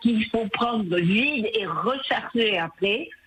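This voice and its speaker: The speaker moves at a very slow pace with ordinary pitch variation amid noticeable background noise. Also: woman. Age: 70s. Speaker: radio caller. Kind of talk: phone-in comment.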